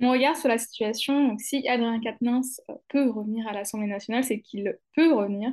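An unremarkable speaking voice at a moderate pace, fairly even in intonation, over a quiet background. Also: woman. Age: 20s. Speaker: lawyer and anti-corruption consultant. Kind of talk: casual chat.

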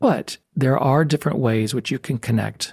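In an American accent, a man with a fairly high pitch sounds somewhat breathy in a dry, close recording with no echo. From Texas, El Paso. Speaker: university department chair. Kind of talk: interview conversation.

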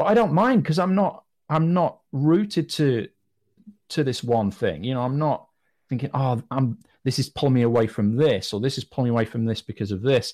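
Lively intonation marks this man's medium-pitched voice. He speaks with a British accent. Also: moderate pace, very clean recording, silent background. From Britain. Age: 40s. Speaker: businessman and podcaster. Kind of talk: interview conversation.

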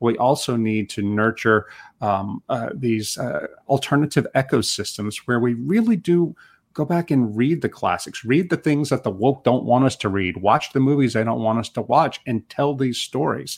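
A man's normal speaking voice at medium pitch, with ordinary pitch variation and a moderate pace, on a very clean recording with a silent background. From United States. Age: 50s. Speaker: journalist and author. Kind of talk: interview.

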